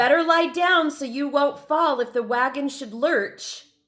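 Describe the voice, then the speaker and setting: In a put-on character voice, a female-sounding speaker talks at a high pitch and a fairly slow pace. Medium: read story. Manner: worried.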